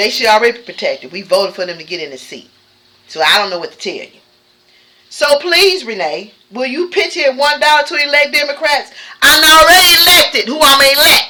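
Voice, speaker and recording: Projecting a raised, animated voice, a woman speaks fairly quickly at a high pitch, with very wide pitch swings and big swings in loudness. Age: 60s. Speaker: YouTuber. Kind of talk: casual chat.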